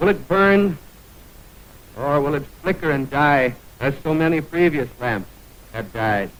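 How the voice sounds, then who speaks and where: Here a man speaks at a fairly slow pace with long, frequent pauses. His voice is fairly high in pitch, with lively intonation. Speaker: radio announcer. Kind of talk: live radio event commentary. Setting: vintage 1929 radio aircheck.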